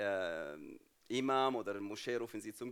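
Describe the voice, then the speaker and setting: A man speaks with an Arabic accent. His voice sits at a medium pitch. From Jordan (Palestinian refugee family). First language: Arabic (speaking German). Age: 30s. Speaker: guest speaker at church. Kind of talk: testimony.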